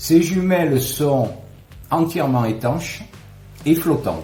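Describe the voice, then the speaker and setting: Audible room echo and music in the background surround a man speaking at a very slow pace. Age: 60s. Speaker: customer product tester. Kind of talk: product review. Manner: hesitant with fillers.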